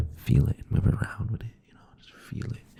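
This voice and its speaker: Noticeable background noise sits behind a voice whispering at a fairly quick pace. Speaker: ASMR creator. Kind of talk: ASMR rambling chat. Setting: close to the microphone. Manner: rambling, filler-heavy.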